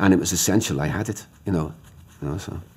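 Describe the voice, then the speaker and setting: Speaking very fast, a man with a Liverpool accent has a very deep, low pitch. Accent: Liverpool (Scouse). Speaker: playwright. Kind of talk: interview. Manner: halting, repetitive.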